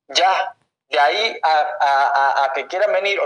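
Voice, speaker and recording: The speaker is a man. His intonation is lively. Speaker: summit organizer, activist. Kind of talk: heated debate.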